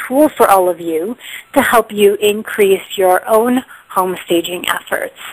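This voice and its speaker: Medium pitch and ordinary pitch variation from a woman speaking. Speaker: home staging trainer and author. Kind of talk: teleconference presentation. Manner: fast.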